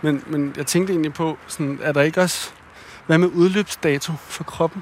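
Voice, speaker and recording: Over noticeable background noise, a man talks. His pitch is fairly high. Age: 30s. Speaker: podcast host. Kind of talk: casual conversation. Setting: outdoors, walking.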